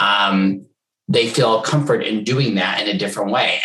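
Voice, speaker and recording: With an American accent, a man talks in an unremarkable speaking voice, fairly low in pitch with ordinary variation. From United States. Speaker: HR executive. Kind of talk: interview conversation.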